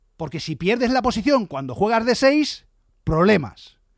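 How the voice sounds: A man speaks in a dramatic tone, slowly, with a high pitch and big swings. The sound is dry and close, with no echo.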